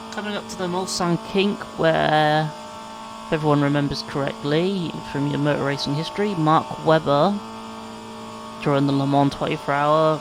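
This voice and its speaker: The talking moves at a moderate pace. There is noticeable background noise. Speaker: sim racing gamer. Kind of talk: gameplay commentary. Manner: halting, stumbling over words.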